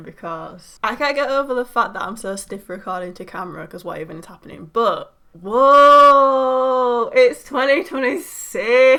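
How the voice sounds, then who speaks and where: A woman talks in an animated, bright, sharp tone at a high pitch and moderate pace, with hardly any pauses. Her loudness swings widely, and the recording is very clean, with a silent background. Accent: British. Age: 20s. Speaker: YouTuber. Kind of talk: casual reaction vlog.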